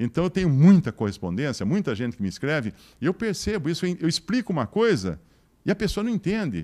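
A man speaks at a very fast pace in a dark, mellow tone, his fairly high pitch swinging very widely against a quiet background. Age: 60s. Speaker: motivational speaker. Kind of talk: lecture. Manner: animated. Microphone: handheld.

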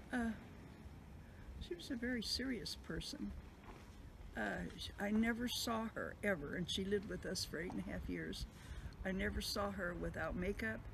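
Woman's speech at a moderate pace amid noticeable background noise. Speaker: interviewee recalling family memories. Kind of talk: interview answer. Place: home room.

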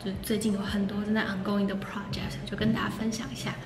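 A woman's voice with music in the background. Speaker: vlogger. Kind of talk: casual vlog chat. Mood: chatty, amused. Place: hall. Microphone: phone near.

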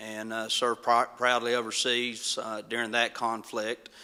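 Here a man speaks with a western North Carolina accent. His pitch is medium and his pace moderate. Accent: Appalachian mountain North Carolina. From mountains of North Carolina. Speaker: county commission candidate, police detective. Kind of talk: candidate forum introduction.

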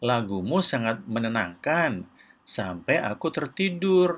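A man puts on a character voice with a fairly bright tone. He talks at a slow pace, and his pitch swings widely. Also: medium pitch for a man.

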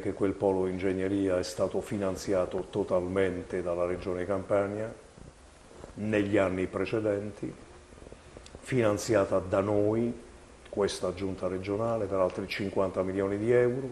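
Over light background noise, a man speaks at a fairly slow pace in a fairly low, monotone, flat voice, with long, frequent pauses. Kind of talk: televised political address. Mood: firm, critical. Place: office. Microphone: lapel.

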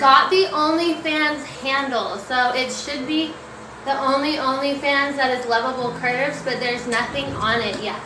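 Projecting her raised voice over noticeable background noise, a woman speaks at a fairly slow pace with ordinary pitch variation. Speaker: content creator. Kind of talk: casual live stream chat. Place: home room. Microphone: phone near.

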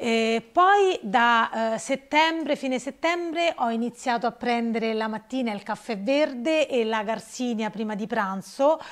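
Against a quiet background, a woman at fairly high pitch talks at a fairly slow pace with hardly any pauses and lively intonation. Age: 50s. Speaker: participant in fitness coaching program; interviewee. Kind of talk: interview testimony; interview answer. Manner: halting. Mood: emotional, reflective. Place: shop. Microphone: lapel.

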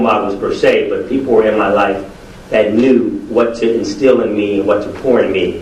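A man with an American accent at a moderate pace, amid audible room echo and noticeable background noise. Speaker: educator and preacher, award honoree. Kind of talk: acceptance speech. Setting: podium before a live audience.

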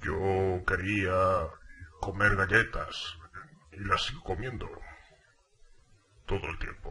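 Putting on a raspy character voice, a man speaks in a solemn tone at a fairly low pitch and a very slow pace, with long, frequent pauses. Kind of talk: comic overacting. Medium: voice reel. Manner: formal, haughty, mock-solemn.

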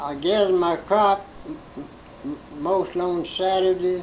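A man talks with a Southern US accent and a high pitch. Noticeable background noise runs behind him. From Central Alabama. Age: 80s+. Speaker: farmer. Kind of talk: interview answer.

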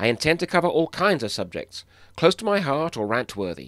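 A man with a British accent at a fairly quick pace, his pitch swinging very widely, with music in the background. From England. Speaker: animator and illustrator. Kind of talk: crowdfunding pitch to camera.

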